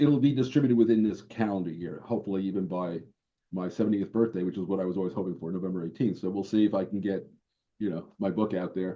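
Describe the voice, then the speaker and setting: A man with a New York accent rattles along at a very fast pace, his fairly low pitch showing ordinary pitch variation. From New York, Brooklyn. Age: 70s. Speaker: board game designer. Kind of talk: interview.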